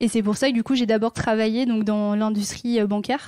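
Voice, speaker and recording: Over a very clean recording with a silent background, a woman speaks at a fairly quick pace in a monotone, flat intonation with a dark, mellow tone. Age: 30s. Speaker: sustainability manager at a department store. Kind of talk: interview.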